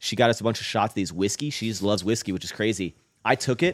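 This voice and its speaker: On a very clean recording with a silent background, a man talks at a very fast pace in a fairly low pitch. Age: 30s. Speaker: fitness YouTuber. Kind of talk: casual chat.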